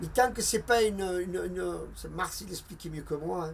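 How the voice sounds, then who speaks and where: This man talks at a moderate pace. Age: 60s. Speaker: retired shipyard worker. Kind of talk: interview testimony. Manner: halting, with repetitions.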